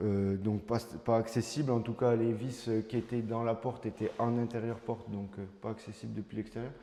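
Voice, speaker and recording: A man talks in a medium pitch. His intonation is monotone and flat. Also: moderate pace. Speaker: home renovation vlogger. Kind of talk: casual renovation walkthrough. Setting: empty room in a house under renovation. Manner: loud; hesitant, many fillers. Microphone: room echo.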